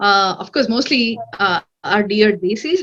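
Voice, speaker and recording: A woman with a Telugu accent speaks at a fairly high pitch. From India, Hyderabad. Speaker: cybersecurity analyst. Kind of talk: interview. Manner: hesitant, many fillers.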